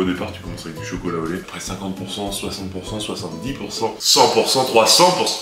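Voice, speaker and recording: Against noticeable background noise and audible room echo, a man speaks at a fairly quick pace. His pitch is fairly low, with ordinary variation. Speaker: fitness youtuber, powerlifter. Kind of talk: casual vlog. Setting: gym. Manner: animated.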